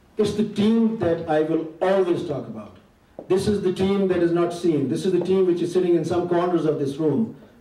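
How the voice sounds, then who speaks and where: Noticeable background noise sits behind a man's high voice. He talks at a moderate pace with ordinary pitch variation. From Pakistan. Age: 50s. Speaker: community association leader. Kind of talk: tribute speech.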